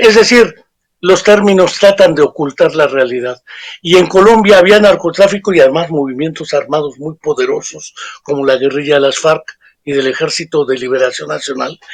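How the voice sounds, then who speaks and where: Fairly high male pitch, ordinary pitch variation, moderate pace, and an unremarkable speaking voice. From Mexico. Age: 60s. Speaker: psychologist and author. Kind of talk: interview. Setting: remote interview.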